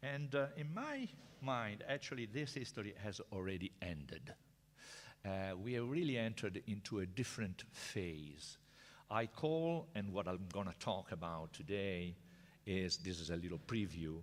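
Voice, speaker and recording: A man with an Italian accent speaks at a moderate pace and a fairly low pitch. His pitch swings very widely in a very clean recording with a silent background. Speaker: professor. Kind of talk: lecture. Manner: halting.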